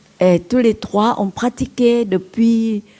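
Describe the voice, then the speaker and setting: A woman's dark, mellow tone carries ordinary pitch variation. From Vietnam. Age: 80s+. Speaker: Buddhist nun and teacher. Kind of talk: dharma talk. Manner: halting.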